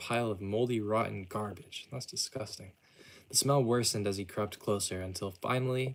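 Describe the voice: Someone reads aloud in a plain way.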